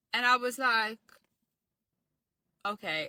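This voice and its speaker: Speaking with a South African accent, a woman uses lively intonation and a bright, sharp tone. The sound is dry and close, with no echo. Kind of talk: casual storytelling.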